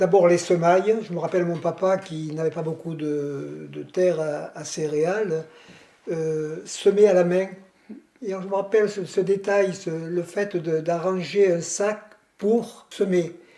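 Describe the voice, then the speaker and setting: A man's high-pitched voice at a very slow pace, fairly even in intonation, over noticeable background noise. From southern France (Gard village). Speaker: village elder interviewee. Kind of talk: reminiscing interview. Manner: halting.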